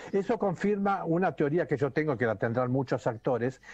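With a dark, mellow tone and very wide pitch swings, a man talks in a dry space with no echo and a quiet background. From Argentina. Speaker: actor and comedian; actor, comedian. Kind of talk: casual chat. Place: home room. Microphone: video call.

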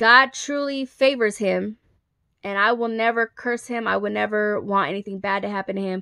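A woman with a medium pitch and a bright, sharp tone speaks at a fairly slow pace. The sound is dry and close with no echo, against a quiet background. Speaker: vlogger. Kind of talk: storytime monologue. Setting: selfie video recorded on a handheld phone. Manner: emotional, rambling delivery.

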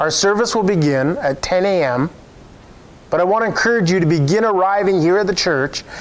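Lively intonation runs through this man's moderate-paced speech. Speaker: pastor. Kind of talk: church announcements and scripture reading. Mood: warm, upbeat. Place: church. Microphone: lapel.

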